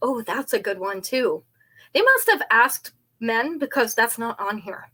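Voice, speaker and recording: A woman's raised, projected, high-pitched voice, fairly slow, with very wide pitch swings. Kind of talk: live stream chat. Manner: casual, chatty.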